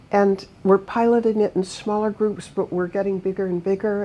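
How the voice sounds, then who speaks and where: Dark, mellow female voice at medium pitch. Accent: American. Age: 80s+. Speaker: author and humanitarian advocate. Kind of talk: interview conversation.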